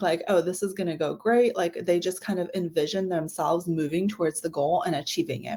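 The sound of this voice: A woman uses a raspy, put-on character voice at a medium pitch with ordinary pitch variation.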